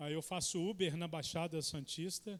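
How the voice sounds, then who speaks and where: In a Minas Gerais accent, a man speaks at a high pitch and a fairly slow pace with fairly even intonation. The recording is very clean, with a silent background. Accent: mineiro. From Minas Gerais, Belo Horizonte. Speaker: guest preacher. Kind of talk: sermon introduction. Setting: church.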